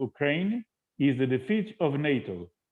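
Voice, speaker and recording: His intonation is lively, and this man's voice sits at a medium pitch. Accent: Portuguese. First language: Portuguese. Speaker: interpreter. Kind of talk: live interpretation. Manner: halting.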